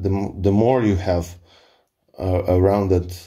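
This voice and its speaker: In a Polish accent, a man speaks at a fairly slow pace in a dark, mellow, somewhat breathy tone with fairly even intonation. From Poland. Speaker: firearms hobbyist. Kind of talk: tutorial. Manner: halting.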